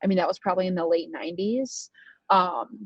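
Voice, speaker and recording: Fairly quick and somewhat breathy, a woman with an American accent talks at a medium pitch with lively intonation. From United States. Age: 20s. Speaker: racing driver and law student. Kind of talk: interview.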